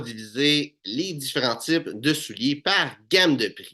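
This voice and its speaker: Against a quiet background, a man with a Quebec accent speaks with lively intonation. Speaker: menswear style YouTuber. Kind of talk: tutorial. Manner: hesitant with many fillers.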